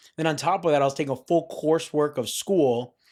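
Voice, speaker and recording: A plain, everyday voice from a man with an American accent, fairly high in pitch, ordinary pitch variation, on a very clean recording with a silent background. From Florida (Parkland). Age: 20s. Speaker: young entrepreneur. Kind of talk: casual interview.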